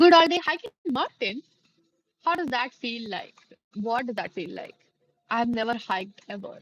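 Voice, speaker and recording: Delivery moves at a moderate pace, broken by long, frequent pauses. Loudness swings widely, and the pitch swings very widely too. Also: woman, high pitch for a woman. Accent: Indian. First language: Hindi. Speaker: live streamer. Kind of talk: casual chat.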